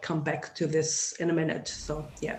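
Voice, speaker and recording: A fairly slow delivery in a German accent. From Germany. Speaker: sociology lecturer. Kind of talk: interview.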